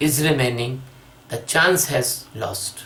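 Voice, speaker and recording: A man speaks with a non-native accent. There is noticeable background noise. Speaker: spiritual teacher. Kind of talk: spiritual discourse. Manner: halting.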